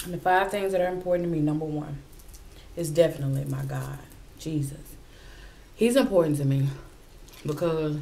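Speaking at a fairly quick pace, a woman with a very deep, low pitch shows big swings in loudness and ordinary pitch variation. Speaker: mukbang vlogger. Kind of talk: casual vlog chat. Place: home room.

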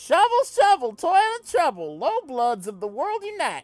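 A put-on character voice, extremely high and swinging very widely in pitch, moves at a moderate pace. Music plays in the background. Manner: mock-dramatic, theatrical.

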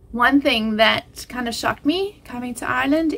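At a moderate pace, a woman speaks in a high pitch. Her pitch variation is ordinary. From South Africa. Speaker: family vlogger. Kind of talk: casual vlog monologue. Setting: home bedroom floor. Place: home room. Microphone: phone near.

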